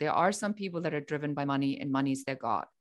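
A woman with a German accent and lively intonation against a quiet background. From Germany. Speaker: business coach. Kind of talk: interview.

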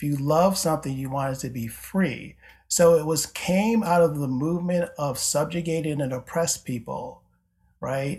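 Here a man speaks in an ordinary speaking voice with a fairly high pitch and ordinary pitch variation. He keeps a moderate pace in a very clean recording with a silent background. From upstate New York (Syracuse). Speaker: theology professor. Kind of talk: interview conversation.

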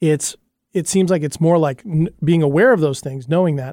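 Speaking at a very fast pace, a man with a fairly high pitch has a dark, mellow tone. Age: 40s. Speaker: podcast and radio co-host. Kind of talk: casual chat. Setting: studio.

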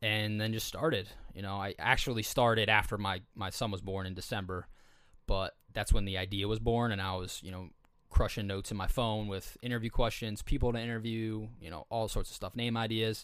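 A man's fairly low voice, an ordinary speaking voice at a fairly quick pace, with fairly even intonation, big swings in loudness, and a very clean recording over a silent background. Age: 20s. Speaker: podcast host. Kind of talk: casual chat.

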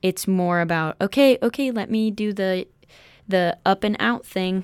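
Recorded very cleanly with a silent background and a dry, close sound with no echo, a woman speaks at a fairly slow pace in an unremarkable speaking voice with ordinary pitch variation. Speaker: college student. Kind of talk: casual chat.

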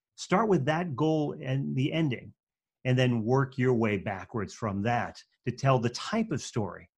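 A somewhat breathy man with a slight New England accent and lively intonation. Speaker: speaking and storytelling coach. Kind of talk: interview. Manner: fairly quick pace.

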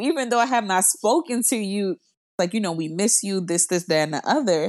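With an American accent, a woman with an unremarkable speaking voice and medium pitch talks using lively intonation. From US South, South Florida (Miramar). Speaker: storyteller sharing personal story. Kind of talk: personal testimony.

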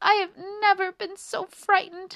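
Putting on a squeaky character voice, a woman speaks at an extremely high pitch with little pitch movement, vocal fry, a fairly bright tone and a fairly slow pace.

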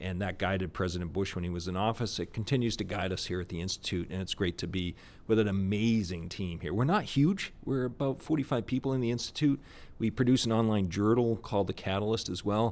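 A man with an American accent, fairly low pitch, ordinary pitch variation and very fast pace, in a very clean recording with a silent background. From US Northeast (Boston area). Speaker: think tank executive director. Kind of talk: interview conversation. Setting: on location at presidential center.

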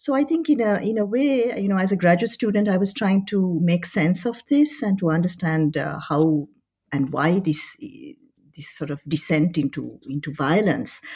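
Her voice is somewhat breathy and sits at a medium pitch for a woman. She moves at a moderate pace with very wide pitch swings. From France, Paris. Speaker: history professor. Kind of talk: interview. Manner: hesitant, many fillers.

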